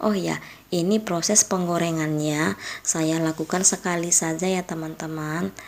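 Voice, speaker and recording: Quiet and fairly slow, a woman speaks at a fairly low pitch with ordinary pitch variation. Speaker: home cooking youtuber. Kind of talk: cooking tutorial voiceover. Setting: late-night voiceover dubbing at home. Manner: quiet, volume kept low.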